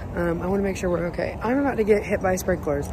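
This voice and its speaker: A woman talks at a very fast pace, her voice dry with no echo and noticeable background noise behind it. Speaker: vlogger. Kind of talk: casual vlog chat. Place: street. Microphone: phone near.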